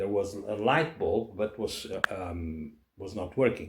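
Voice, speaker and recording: A man talks at a fairly slow pace. He speaks with a Portuguese accent. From Portugal. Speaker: person on probation. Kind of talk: casual conversation. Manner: halting.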